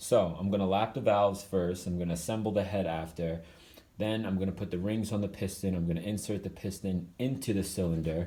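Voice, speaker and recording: A man talks at a very fast pace. His voice has a fairly low pitch and a dark, mellow tone. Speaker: motorcycle DIY youtuber. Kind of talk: tutorial. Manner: casual.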